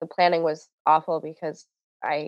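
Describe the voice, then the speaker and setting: This woman's voice sits very deep and low. She talks at a moderate pace in a flat, monotone way. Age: 30s. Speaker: finance writer. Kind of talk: casual conversational interview. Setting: video call.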